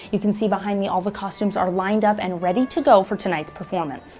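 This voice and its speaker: Over music in the background, a woman talks very fast at medium pitch with ordinary pitch variation. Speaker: TV news reporter. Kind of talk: news reporter stand-up / package narration.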